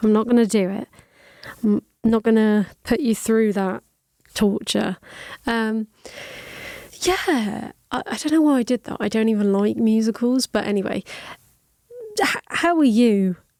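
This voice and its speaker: A woman speaks at a fairly slow pace with long, frequent pauses. Her tone is dark and mellow, and the sound is dry and close with no echo. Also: fairly high pitch for a woman, ordinary pitch variation. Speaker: podcast host. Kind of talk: casual podcast talk.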